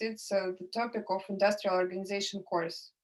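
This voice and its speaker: A woman with a Russian accent speaks in a medium pitch. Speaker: economics tutor. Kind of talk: lecture. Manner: halting.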